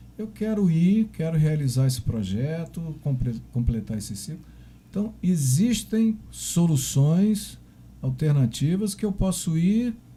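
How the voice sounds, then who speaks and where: At a very slow pace, a man with a fairly high voice makes very wide pitch swings. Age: 60s. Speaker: podcast host. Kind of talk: interview.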